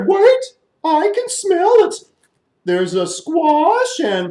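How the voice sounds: Putting on a character voice, a man speaks at an extremely high pitch and a very slow pace.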